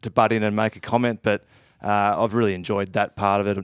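A man with an Australian accent speaks very fast in a fairly low, flat monotone, recorded very cleanly against a silent background. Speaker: retired footballer. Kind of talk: casual chat.

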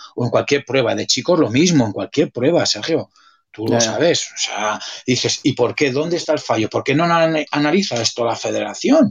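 A man with a normal speaking voice, fairly high in pitch, at a moderate pace and with lively intonation. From Spain, Pamplona (Navarre). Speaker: swimming coach, former swimmer. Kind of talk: casual chat.

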